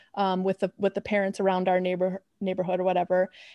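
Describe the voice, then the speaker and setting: A medium-pitched woman with a Chicago accent, with a dry, close sound with no echo over a quiet background. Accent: Chicago American. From US Midwest, Chicago. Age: 30s. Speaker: environmental sociologist. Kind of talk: interview.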